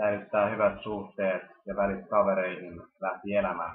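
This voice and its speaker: Fairly slow and fairly low-pitched, a man's voice carries this clip. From Finland, Helsinki. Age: 20s. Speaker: university student. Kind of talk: self-introduction video.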